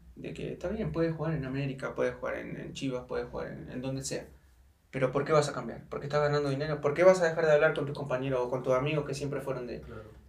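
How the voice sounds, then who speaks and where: A man's fairly high voice at a very fast pace, fairly even in intonation yet with big swings in loudness, amid audible room echo and noticeable background noise. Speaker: football player. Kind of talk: casual chat.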